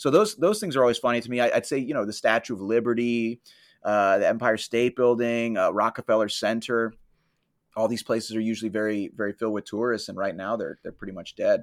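A man with an American accent and a medium pitch talks at a very fast pace with fairly even intonation. The recording is very clean, with a silent background and a dry, close sound with no echo. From Florida. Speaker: comedian and tour guide. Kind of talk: casual interview chat. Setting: studio without AC.

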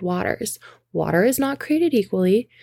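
In a very clean recording with a silent background, a woman talks at a moderate pace. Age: 30s. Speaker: podcast host. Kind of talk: casual monologue. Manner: animated.

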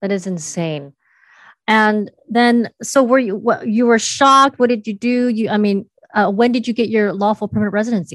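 A woman speaks in a plain, everyday voice, her fairly high pitch moving with ordinary variation at a moderate pace, the sound dry and close with no echo over a quiet background. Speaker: podcast host. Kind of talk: interview.

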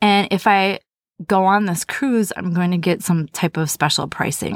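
At a moderate pace and medium pitch, a woman speaks in an animated tone, recorded dry and close with no echo in a very clean recording with a silent background. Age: 40s. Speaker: podcast host. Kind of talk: personal storytelling.

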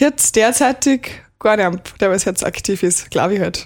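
A woman talks very slowly with lively intonation, captured on a very clean recording against a silent background. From Austria, Pongau (St. Johann, Salzburg). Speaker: rural youth club member. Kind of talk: radio interview.

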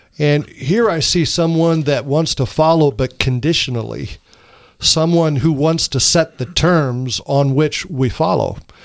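An unremarkable speaking voice, this man talks at a fairly slow pace and a fairly high pitch, with ordinary pitch variation and very even loudness. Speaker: pastor. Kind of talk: panel discussion on Bible topics.

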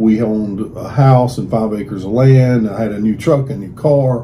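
A man with a Southern US accent speaks at a moderate pace in a medium pitch, with audible room echo and noticeable background noise. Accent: Southern US (Georgia). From US South (Georgia). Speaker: pastor. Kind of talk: interview.

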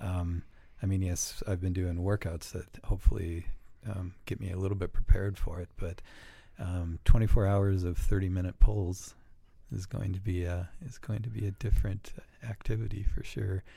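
A dark, mellow, somewhat breathy voice at a moderate pace, fairly even in intonation, with big swings in loudness, on a very clean recording with a silent background. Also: man, very deep, low pitch for a man. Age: 40s. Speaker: company vice president and amateur racer. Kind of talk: casual chat.

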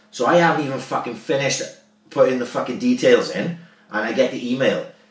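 A man with a Welsh accent talks at a fairly quick pace amid noticeable background noise and audible room echo. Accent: Swansea Welsh. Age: 30s. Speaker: podcast host, former amateur footballer. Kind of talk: casual chat.

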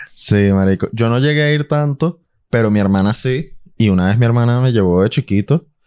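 Lively intonation and a dark, mellow tone in a Caracas accent, at a moderate pace, in a very clean, dry, close recording with a silent background and no echo. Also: man. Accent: Venezuelan Spanish (Caracas). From Venezuela, Caracas. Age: 20s. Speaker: musician. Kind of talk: casual chat.

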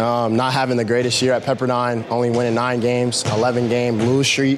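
A man talks at a fairly quick pace with a medium pitch. Music sits in the background. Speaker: college basketball player, draft prospect. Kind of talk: post-workout interview. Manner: halting.

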